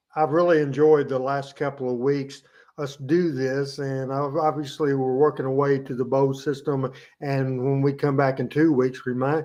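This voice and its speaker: A man with a Southern US accent, speaking at a moderate pace in a monotone, flat intonation. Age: 60s. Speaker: wrestling show host. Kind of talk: casual chat.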